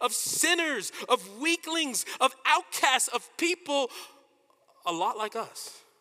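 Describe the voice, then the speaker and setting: Raised and projected, the voice has a bright, sharp tone and an American accent, in a dry, close sound with no echo. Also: man. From US, Washington DC. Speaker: pastor. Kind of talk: sermon.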